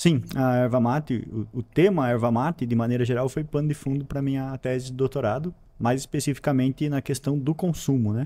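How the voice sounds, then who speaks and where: On a very clean recording with a silent background, a man with a medium pitch and a dark, mellow tone speaks at a fairly quick pace with ordinary pitch variation. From Paraná, southern Brazil (São Mateus do Sul). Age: 30s. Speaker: geography teacher and school director. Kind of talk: interview.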